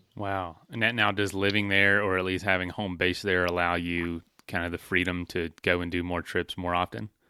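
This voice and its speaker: Bright and sharp in tone, the voice moves at a moderate pace with hardly any pauses and fairly even intonation, in a very clean recording with a silent background and a dry, close sound with no echo. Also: man, very deep, low pitch for a man. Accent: slight Southern US. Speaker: podcast host. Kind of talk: interview. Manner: laid-back.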